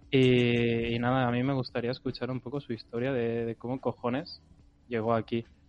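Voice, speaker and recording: A man talks at a moderate pace with a medium pitch and flat, monotone intonation. Background noise is noticeable throughout. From Catalonia, Costa Brava near Girona. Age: young. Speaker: podcast co-host and student. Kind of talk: casual chat. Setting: live stream.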